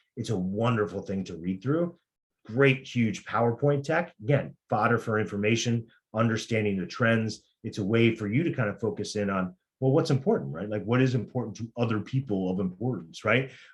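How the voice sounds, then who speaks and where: A man speaks at a medium pitch with a somewhat breathy voice. His pace is fairly quick. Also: ordinary pitch variation, quiet background. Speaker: career coach and tech recruiter. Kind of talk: career workshop presentation. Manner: fast; halting, many fillers.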